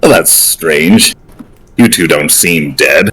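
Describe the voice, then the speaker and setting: A man puts on a character voice, speaking very slowly at a very deep, low pitch. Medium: actual play.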